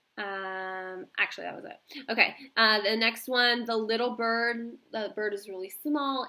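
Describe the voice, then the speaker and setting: Her voice is plain and everyday, fairly high for a woman. She speaks fairly slowly with ordinary pitch variation. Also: big swings in loudness. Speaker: teacher. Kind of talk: tutorial. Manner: casual with fillers.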